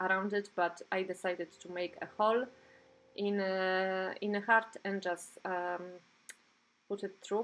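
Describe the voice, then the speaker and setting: A woman with a non-native accent speaks at a fairly slow pace in a medium pitch. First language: not English. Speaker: art journaling YouTuber. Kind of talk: crafting tutorial narration. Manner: hesitant, many fillers.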